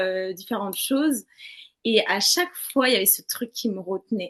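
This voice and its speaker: A woman's moderately paced speech with lively intonation. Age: 20s. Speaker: interviewee sharing personal experiences. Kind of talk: testimony. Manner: casual, hesitant.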